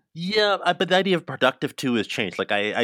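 Speaking fairly quickly with lively intonation, a man uses an ordinary speaking voice in a dry, close sound with no echo. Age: 40s. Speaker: multidisciplinary artist. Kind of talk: casual chat. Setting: remote call.

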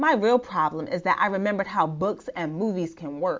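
At a fairly slow pace, a woman with a medium-pitched voice speaks with an American accent. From US, Nigerian American family. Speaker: blogger, therapist. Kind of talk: reading own blog post aloud. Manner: casual, conversational.

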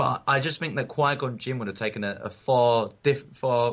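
A man with an English accent speaks at a fairly slow pace with ordinary pitch variation. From England. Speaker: podcast co-host. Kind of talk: casual chat.

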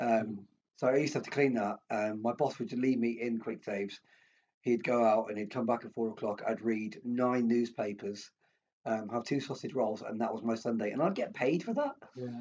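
Speaking in an English accent, a man keeps a moderate pace. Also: medium pitch for a man. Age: 40s. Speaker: former professional boxer and hospitality manager. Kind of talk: casual chat.

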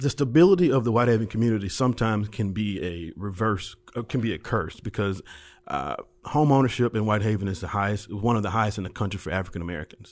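A man with a Memphis accent, fairly low-pitched, with lively intonation at a very fast pace. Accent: Southern US (Memphis). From US South, Memphis. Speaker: economic development director. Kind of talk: podcast interview.

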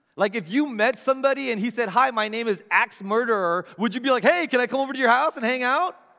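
Speaking very fast with hardly any pauses, a man uses an extremely high pitch, ordinary pitch variation, and a bright, sharp tone in a raised, projected voice. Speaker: guest preacher. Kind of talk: sermon. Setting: church. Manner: warm, conversational.

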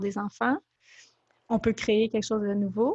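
A somewhat breathy woman with a Quebec accent, a fairly high pitch, and fairly even intonation, in a dry, close sound with no echo against a quiet background. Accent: Québécois French. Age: 30s. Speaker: blogger and author. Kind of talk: interview.

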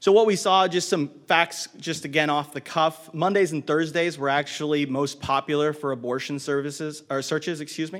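Speech at a moderate pace with fairly even intonation comes through noticeable background noise. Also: man, fairly high pitch for a man. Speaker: marketing director, conference speaker. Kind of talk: conference presentation. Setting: stage with audience. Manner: uses many filler words.

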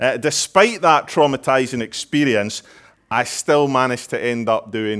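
Over a silent background in a very clean recording, a man with an ordinary speaking voice talks at a moderate pace at medium pitch with lively intonation. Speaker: preacher. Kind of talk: sermon. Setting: church.

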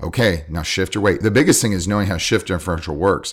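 Very deep and low, a man's voice races at a very fast pace with ordinary pitch variation. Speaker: jiu-jitsu coach. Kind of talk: casual chat.

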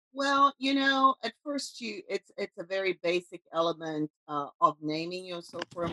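A woman speaks at a moderate pace with a fairly low pitch, very wide pitch swings, big swings in loudness and hardly any pauses. The sound is dry and close, with no echo. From South Africa. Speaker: visual artist. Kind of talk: casual interview.

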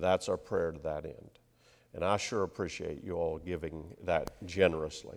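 At a moderate pace, a man with an American accent talks in a very deep, low pitch with fairly even intonation, on a very clean recording with a silent background. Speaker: interim church minister. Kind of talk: sermon. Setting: church with microphone. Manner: humorous, self-deprecating.

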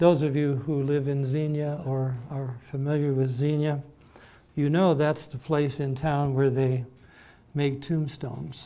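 A man talks at a fairly slow pace with a fairly high pitch and a dark, mellow tone. His intonation is monotone and flat. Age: 80s+. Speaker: pastor. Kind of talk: sermon. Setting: church.

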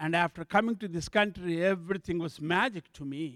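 Recorded very cleanly against a silent background, a man with an Indian accent speaks at a moderate pace. His pitch variation is ordinary, and the sound is dry and close with no echo. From southern India. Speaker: bishop, church planter. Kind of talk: testimony. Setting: church.

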